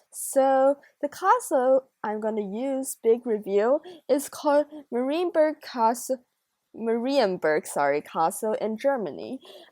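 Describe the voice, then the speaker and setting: A woman speaks at a fairly slow pace with a Chinese accent, her voice high-pitched, dark and mellow, with lively intonation. The sound is dry and close with no echo. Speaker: gaming YouTuber. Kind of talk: gameplay commentary. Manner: casual, chatty.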